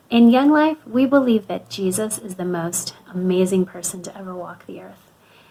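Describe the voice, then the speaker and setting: A warm tone with an American accent, lively intonation, big swings in loudness, a moderate pace and noticeable background noise. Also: woman, medium pitch for a woman. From US (Florida) and Canada, moved often. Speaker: youth ministry speaker. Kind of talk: youth talk / devotional. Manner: warm, conversational.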